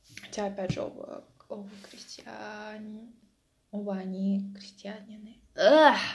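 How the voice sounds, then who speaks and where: A woman speaks at a very slow pace with big swings in loudness, and audible room echo can be heard. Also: medium pitch for a woman, ordinary pitch variation. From Russia, Mtsensk (Oryol region). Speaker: vlogger. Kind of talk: casual vlog monologue. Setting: at home.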